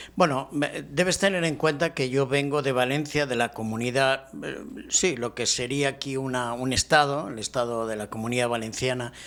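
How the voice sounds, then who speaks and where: A man with a Spanish accent, medium pitch and moderate pace. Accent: Spanish (Spain). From Spain, Barcelona. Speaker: professor. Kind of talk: interview.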